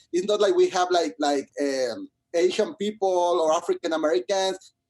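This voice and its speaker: A man with a Spanish accent speaks at a moderate pace in a high pitch, with ordinary pitch variation, very even loudness and a dry, close sound with no echo. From Mexico, Monterrey. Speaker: musical theatre composer. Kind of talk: interview. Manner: halting, many repetitions.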